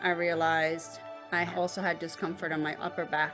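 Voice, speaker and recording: A woman's fairly low voice at a moderate pace, with ordinary pitch variation and music in the background. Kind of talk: interview answer.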